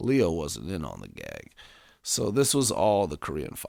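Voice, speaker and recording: On a very clean recording with a silent background, a man's voice shows vocal fry and very wide pitch swings. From Ukraine. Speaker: podcast co-host. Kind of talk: casual chat. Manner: stuttering.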